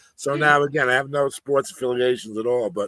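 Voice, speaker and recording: The sound of a man with a New York accent is dry and close, with no echo. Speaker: reseller. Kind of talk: casual chat. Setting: live stream.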